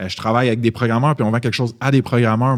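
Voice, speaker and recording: The voice belongs to a man. His pitch is medium. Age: 30s. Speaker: startup founder. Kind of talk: podcast interview. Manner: animated.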